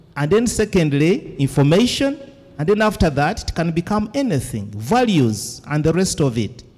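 A man with a Ugandan accent speaks at a moderate pace in a fairly high pitch, his voice swinging very widely up and down. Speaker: academic and event moderator. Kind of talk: moderating an academic symposium. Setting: symposium with audience.

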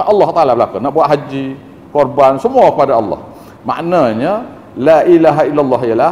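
The speech runs at a very fast pace with very wide pitch swings. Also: man. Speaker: religious teacher. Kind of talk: religious lecture. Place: church.

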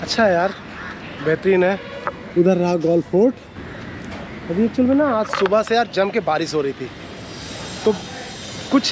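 A man's fairly quick, high-pitched voice with ordinary pitch variation and faint background noise.

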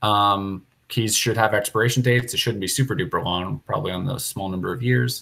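The speech is somewhat breathy, at a fairly quick pace, with ordinary pitch variation. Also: man. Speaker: software developer leading a planning meeting. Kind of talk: technical meeting discussion. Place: home room. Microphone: earbuds.

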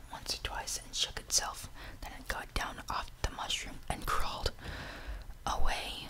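A man whispering at a fairly slow pace, with big swings in loudness. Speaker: reader. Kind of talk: audiobook reading. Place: home room. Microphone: studio mic.

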